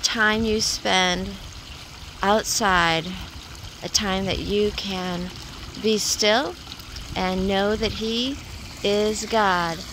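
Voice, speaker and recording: Very slow speech with long, frequent pauses, a dry sound with no echo, and noticeable background noise. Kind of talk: casual vlog chat. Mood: cheerful, uplifting. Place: waterside. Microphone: phone near.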